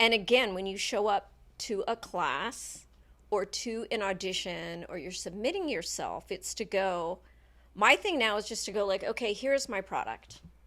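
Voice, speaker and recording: A woman's bright, sharp tone with vocal fry and ordinary pitch variation, in a very clean recording with a silent background. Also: medium pitch for a woman, moderate pace. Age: 60s. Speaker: dancer. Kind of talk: casual chat.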